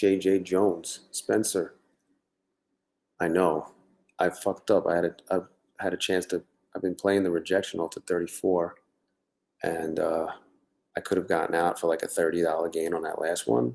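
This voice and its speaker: Quiet and very deep, a man's voice moves at a moderate pace with fairly even intonation and long, frequent pauses. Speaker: livestreaming day trader. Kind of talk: live stream commentary. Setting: home at night, live stream. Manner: talking quietly; casual, halting.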